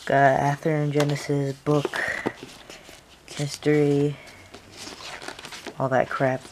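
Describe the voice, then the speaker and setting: A woman speaks at a very slow pace in a very deep, low pitch, her intonation monotone and flat. Long, frequent pauses break up her speech, and there is noticeable background noise. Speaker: model train hobbyist reviewer. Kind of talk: product review, unboxing. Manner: casual, hesitant with fillers.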